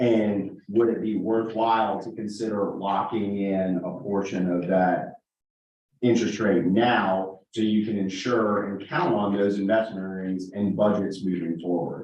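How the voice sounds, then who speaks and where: A man talks at a fairly slow pace in a normal speaking voice. His pitch is fairly low and his intonation fairly even. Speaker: financial advisor presenting investments. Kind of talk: presentation to a town board.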